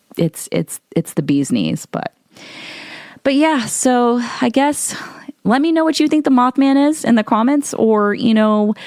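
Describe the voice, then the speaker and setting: With a US Midwestern accent, a woman talks fairly slowly in a high voice, her intonation lively and her loudness very even. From Ohio, US Midwest. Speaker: podcast host and model. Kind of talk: casual podcast monologue. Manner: halting, many repeated words; audible mouth breathing.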